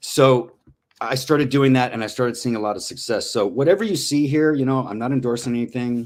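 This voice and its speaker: On a very clean recording with a silent background, a man with a normal speaking voice talks fairly quickly at medium pitch, with ordinary pitch variation. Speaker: crypto trader presenting research tools. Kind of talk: live-streamed presentation.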